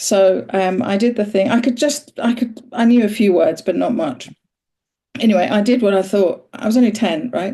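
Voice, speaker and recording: A woman talks at a moderate pace with a fairly high pitch. Her tone is dark and mellow, and her voice is somewhat breathy. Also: ordinary pitch variation. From Iran, moved to UK at age ten. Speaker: interviewer and voice practitioner. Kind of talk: conversational interview.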